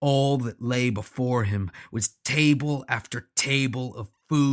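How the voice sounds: The pitch moves in an ordinary way in a natural reading voice, with the background kept quiet.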